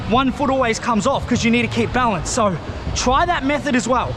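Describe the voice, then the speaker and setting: The delivery is energetic and fairly quick, with noticeable background noise behind it. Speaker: scooter riding instructor. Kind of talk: tutorial. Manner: loud; energetic, casual.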